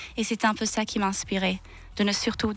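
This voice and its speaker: Her fairly high voice stays monotone and flat as the woman speaks with a slight Swiss German accent. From Zurich, Switzerland. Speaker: singer. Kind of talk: radio interview. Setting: radio studio.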